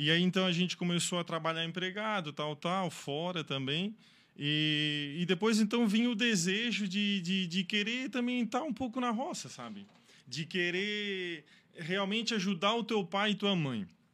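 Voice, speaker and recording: This man's high pitch moves in lively intonation, his tone bright and sharp on a very clean recording with a silent background. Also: fairly slow pace. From southern Brazil, Santa Catarina (Içara). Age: 30s. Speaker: fruit farmer. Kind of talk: interview.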